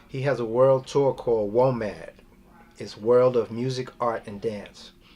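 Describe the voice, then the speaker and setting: A man talks with a New York accent and fairly even intonation. His loudness swings widely. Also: medium pitch for a man, fairly slow pace. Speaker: drummer. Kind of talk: oral history interview.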